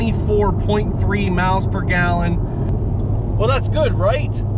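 Over loud background noise, a man speaks at a very slow pace, the sound dry with no echo. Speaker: car vlogger driving. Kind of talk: casual vlog chat. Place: car. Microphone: phone near.

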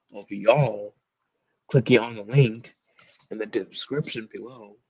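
At a moderate pace, a man is talking. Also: quiet background. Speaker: comics reviewer streamer. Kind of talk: casual livestream commentary. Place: home room. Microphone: webcam.

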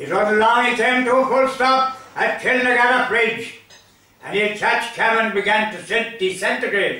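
A man with an Irish accent speaks in a raised, projected voice at extremely high pitch and a moderate pace, with audible room echo. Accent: rural Irish (Limerick). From Ireland, County Limerick; Ireland. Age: 80s+. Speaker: storyteller. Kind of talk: storytelling. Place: home room.

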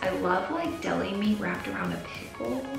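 A woman with an American accent, with audible room echo and clear music in the background. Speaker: fitness and nutrition vlogger. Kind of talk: casual talk to camera. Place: home room.

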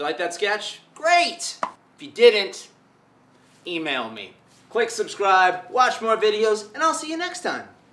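With music in the background, a man speaks fairly slowly, his pitch swinging very widely and his loudness rising and falling sharply. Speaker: sketch comedian. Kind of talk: video outro to camera.

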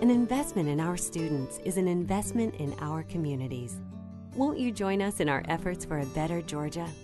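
A woman speaks with a very deep, low pitch and very wide pitch swings at a fairly quick pace. Music plays in the background. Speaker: voice-over narrator. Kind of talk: corporate narration.

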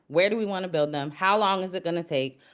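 Against a quiet background, a woman with an American accent speaks at medium pitch with lively intonation. She has an unremarkable speaking voice. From US South, Georgia (DeKalb). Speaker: city council candidate; executive coach. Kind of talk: candidate interview.

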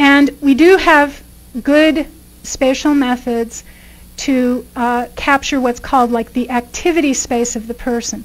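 A woman speaks with a high pitch at a fairly slow pace. Her intonation is fairly even. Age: 50s. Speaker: professor; guest lecturer. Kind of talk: lecture. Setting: stage with audience. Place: hall. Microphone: podium.

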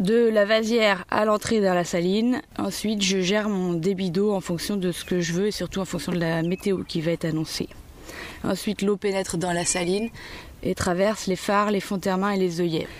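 Noticeable background noise sits behind a woman speaking at a moderate pace. Her pitch is medium and her intonation fairly even. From Vendée coast, western France. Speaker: salt farmer. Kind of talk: interview. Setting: outdoors.

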